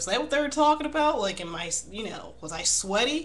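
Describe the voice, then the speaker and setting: A woman mumbling at a moderate pace with very wide pitch swings, amid audible room echo and noticeable background noise. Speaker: video blogger. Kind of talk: casual vlog monologue. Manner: halting.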